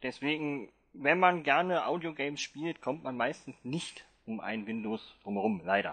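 Speaking at a fairly slow pace, a man uses an unremarkable speaking voice with a fairly high pitch and lively intonation. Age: 30s. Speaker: blind Mac user leading a workshop. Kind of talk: online workshop talk.

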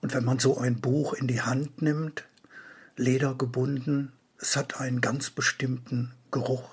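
Here a man talks at a fairly slow pace in a medium-pitched voice. His delivery is monotone and flat, and somewhat breathy. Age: 60s. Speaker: book author. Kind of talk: event announcement.

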